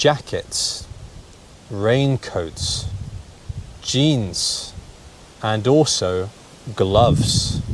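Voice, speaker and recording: A man of medium pitch speaks with a British accent and lively intonation over noticeable background noise. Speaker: English teacher. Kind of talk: language lesson to camera. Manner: slow, clear.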